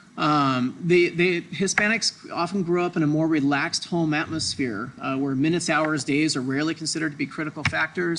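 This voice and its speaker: Over noticeable background noise, a man with an American accent talks at a fairly quick pace and fairly high pitch with ordinary pitch variation. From Southern California. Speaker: doctor teaching medical Spanish. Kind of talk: lecture. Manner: fast; loud, energetic.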